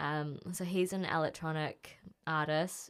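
A woman with a New Zealand accent speaks at a fairly low pitch with fairly even intonation. The recording is very clean, with a silent background. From New Zealand, Auckland. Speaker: music journalist and DJ. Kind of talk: casual interview.

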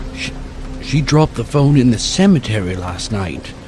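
A man talks in a dramatic tone at a medium pitch. Noticeable background noise sits under his voice. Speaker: horror story narrator. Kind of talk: horror story narration. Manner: hushed, suspenseful, dramatic pacing; animated, switching into character voices.

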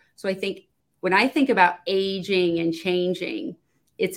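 Here a woman has an ordinary speaking voice. She talks at a moderate pace with a medium pitch. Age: 50s. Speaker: business owner, client service consultant. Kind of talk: panel discussion. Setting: video call.

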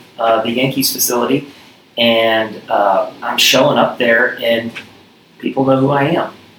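Against noticeable background noise, a man with an American accent speaks fairly slowly with fairly even intonation. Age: 40s. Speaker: gym owner and former baseball player. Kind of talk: casual interview.

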